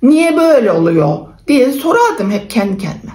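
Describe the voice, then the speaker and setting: A woman's high voice in an Aegean accent, with very wide pitch swings over noticeable background noise. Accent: Aegean Turkish dialect (Buldan, Denizli). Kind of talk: casual talk to camera.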